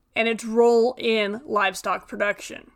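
A woman at a moderate pace, in a very clean recording with a silent background. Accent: Western US. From Western Nevada. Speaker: animal science professor. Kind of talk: scripted narration.

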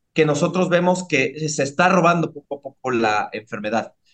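With a Mexico City accent, a man speaks at a fairly high pitch. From Mexico City, Iztapalapa. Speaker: neuroscientist. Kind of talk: interview.

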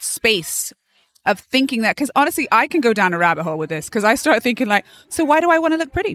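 A woman's American accent with very wide pitch swings, dry and close with no echo. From England, Bath. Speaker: actor and entrepreneur. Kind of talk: interview. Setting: live event with activity in background.

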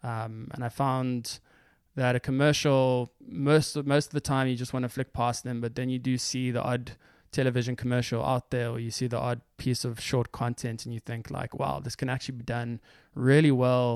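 On a very clean recording with a silent background, a man talks at a moderate pace in a flat monotone, the sound dry and close with no echo. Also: medium pitch for a man. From South Africa, Johannesburg. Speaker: creative video producer. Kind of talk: casual interview.

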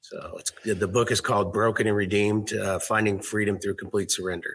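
Somewhat breathy and fairly low in pitch, a man talks with an American accent in a flat monotone. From US Pacific Northwest, Seattle area. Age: 50s. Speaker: fitness director, author, Marine veteran. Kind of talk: interview. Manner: hesitant, with many fillers.

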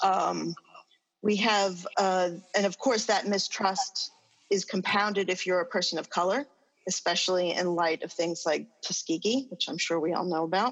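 A woman with an American accent talks at a moderate pace in an ordinary speaking voice. Her pitch is medium, with ordinary variation. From New York. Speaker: social work professor. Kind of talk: panel discussion.

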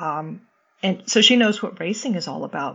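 A woman with a normal speaking voice, lively intonation and a moderate pace. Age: 50s. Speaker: amateur triathlete. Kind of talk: casual chat.

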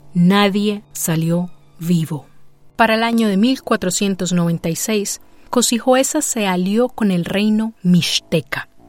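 A dramatic tone at a very slow pace, ordinary pitch variation, and music in the background. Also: woman, medium pitch for a woman. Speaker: podcast narrator and producer. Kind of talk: scripted storytelling narration. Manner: dramatic, suspenseful narration with rhetorical questions.

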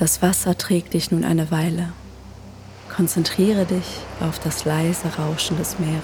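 With noticeable background noise behind her, a woman speaks in a calm tone, fairly low in pitch, at a fairly slow pace with monotone, flat intonation and long, frequent pauses. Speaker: meditation guide. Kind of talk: guided meditation. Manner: calm, slow; soft-spoken.

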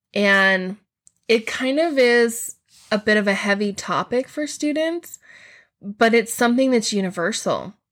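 At a fairly slow pace, a speaker uses a normal speaking voice with ordinary pitch variation on a very clean recording with a silent background. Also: woman, fairly high pitch for a woman. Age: 40s. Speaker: teacher / mythology podcast host. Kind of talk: educational podcast monologue.

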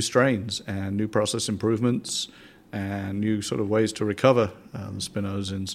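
Speaking at a moderate pace with a southern English accent, the man has a fairly low pitch and monotone, flat intonation. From southern England. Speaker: scientific institute director. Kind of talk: interview. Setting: in-person recording in a room.

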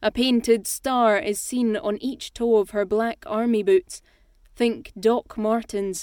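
A woman with a Scottish accent at a very slow pace, fairly high in pitch with ordinary pitch variation, in a dry, close sound with no echo. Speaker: audiobook narrator and actor. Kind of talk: contest announcement; scripted narration.

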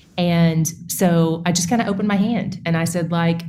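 This woman's fairly low voice has audible room echo around it. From East Tennessee. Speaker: Bible teacher and podcast host. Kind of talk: interview conversation.

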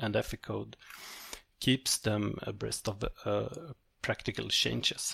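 Someone with a Swedish accent talks at a fairly slow pace in a dry, close sound with no echo. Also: man. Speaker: company CEO. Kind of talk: interview. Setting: online call. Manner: halting.

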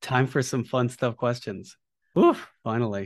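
Speaking in an ordinary speaking voice, a man keeps a medium pitch and fairly even intonation. His pace is fairly slow over a quiet background. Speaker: podcast host. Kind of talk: interview conversation.

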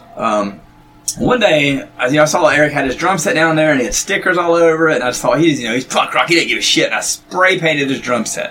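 With noticeable background noise, a man with a North Carolina accent talks very fast at a fairly high pitch with lively intonation. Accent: Southern US (North Carolina). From North Carolina, Gaston County. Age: 40s. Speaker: musician. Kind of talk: casual chat.

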